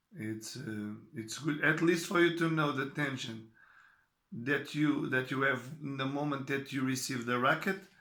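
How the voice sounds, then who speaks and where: Fairly high-pitched man's voice with a Portuguese accent, a bright, sharp tone and a moderate pace, plus audible room echo. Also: ordinary pitch variation. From Portugal. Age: 40s. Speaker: tennis coach. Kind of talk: talk to camera. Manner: halting.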